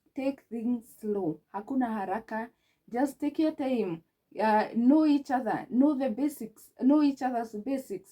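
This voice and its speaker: A woman with a Kenyan accent, a high pitch, a dark, mellow tone, ordinary pitch variation and a fairly slow pace. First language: Kikuyu. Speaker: relationship advice vlogger. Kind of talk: advice talk to camera.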